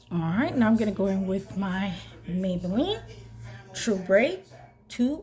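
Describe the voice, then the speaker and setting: Against noticeable background noise and audible room echo, a woman speaks at a medium pitch with ordinary pitch variation, a fairly slow pace, and long, frequent pauses. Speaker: beauty vlogger. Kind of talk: makeup tutorial, casual chat. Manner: animated.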